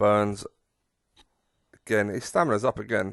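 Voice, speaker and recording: With an English accent, a man speaks at a moderate pace. His pitch sits fairly low. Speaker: gaming streamer. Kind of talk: gameplay commentary. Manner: drowsy; animated.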